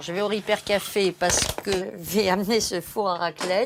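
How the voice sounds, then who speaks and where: Noticeable noise fills the background. It is a woman talking. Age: 60s. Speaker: retiree. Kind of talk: interview. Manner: halting, many hesitations.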